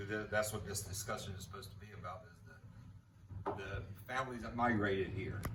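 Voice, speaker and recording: A man with an American accent speaks at a moderate pace in a fairly low pitch, his intonation fairly even. Audible room echo and noticeable background noise are present. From south Louisiana and Jay, Florida. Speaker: oilfield family member. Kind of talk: oral history interview. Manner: halting, with repetitions.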